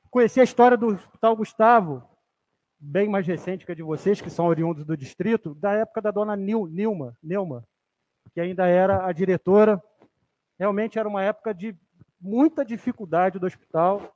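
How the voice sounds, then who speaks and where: The man speaks at a moderate pace. His pitch is high, with ordinary variation. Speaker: city councilman. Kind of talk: legislative session speech. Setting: council chamber. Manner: halting, repeats words. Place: hall. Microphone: podium.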